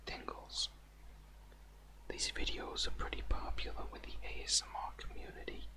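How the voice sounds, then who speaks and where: A soft-spoken man's whisper at a fairly slow pace, over noticeable background noise. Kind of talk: casual talk to camera. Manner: whispery, soft-spoken.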